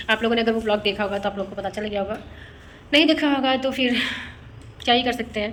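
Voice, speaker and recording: Amid noticeable background noise, a woman with fairly high pitch and ordinary pitch variation speaks with long, frequent pauses. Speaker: vlogger. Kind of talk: casual vlog chat.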